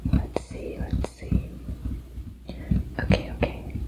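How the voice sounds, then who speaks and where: The words come as a whisper, delivered at a very slow pace. Behind them, background noise is noticeable. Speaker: ASMR creator. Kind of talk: ASMR roleplay. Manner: whispered, soft-spoken.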